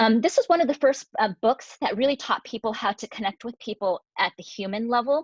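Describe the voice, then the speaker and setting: The speaker has an American accent and a fairly quick pace with ordinary pitch variation. The sound is dry and close, with no echo. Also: woman, fairly high pitch for a woman. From Colorado, Denver. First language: Cantonese. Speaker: anesthesiologist. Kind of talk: presentation.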